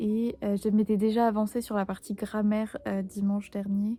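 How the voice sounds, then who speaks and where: A fairly slow pace, with music in the background. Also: woman. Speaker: Korean language learner. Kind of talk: casual vlog talk to camera.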